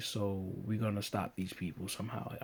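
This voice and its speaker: The voice moves at a moderate pace with fairly even intonation. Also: man. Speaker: TV episode reviewer. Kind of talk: casual talk to camera. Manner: monotonous.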